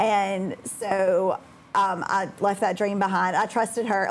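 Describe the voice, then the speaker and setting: With a Southern US accent, a woman speaks at a medium pitch. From Alabama (Birmingham area), US South. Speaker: high school math teacher. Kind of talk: interview. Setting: studio.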